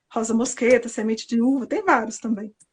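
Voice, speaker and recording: Against a quiet background, a woman uses a normal speaking voice at a fairly high pitch and a moderate pace. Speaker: aromatherapy guest on a live stream. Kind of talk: casual live-stream chat. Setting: live stream.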